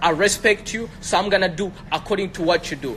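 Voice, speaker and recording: A man with a high-pitched voice talks over music playing in the background. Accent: American. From Africa. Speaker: entrepreneur. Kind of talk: heated debate. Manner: fast; animated.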